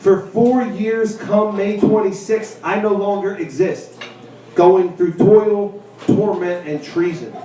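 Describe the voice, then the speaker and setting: Speaking loudly and at a very slow pace, a man with a high pitch keeps a fairly even intonation amid noticeable background noise and audible room echo. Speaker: poet and teacher. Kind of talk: poetry reading at a live event; casual talk to audience.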